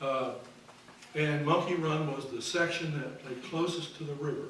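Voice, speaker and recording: A man with a Missouri accent talks at a fairly high pitch with fairly even intonation. Noticeable background noise and audible room echo fill the recording. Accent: Midwestern American (Missouri). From US Midwest, Missouri, near Hannibal on the Mississippi. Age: 70s. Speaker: retired history professor. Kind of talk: keynote lecture.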